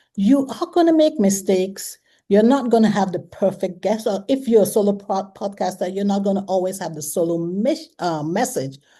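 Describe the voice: The voice has a dark, mellow tone and ordinary pitch variation. It moves at a moderate pace. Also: woman, medium pitch for a woman.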